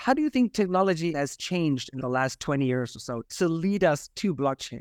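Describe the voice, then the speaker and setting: Heard on a very clean recording with a silent background and a dry, close sound with no echo, a man has a plain, everyday voice at a fairly high pitch. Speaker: podcast host. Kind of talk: casual interview.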